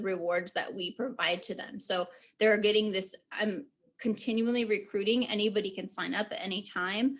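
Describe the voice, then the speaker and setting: Her medium-pitched voice holds a fairly even intonation as this woman speaks. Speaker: community engagement coordinator. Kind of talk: work meeting update. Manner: fast.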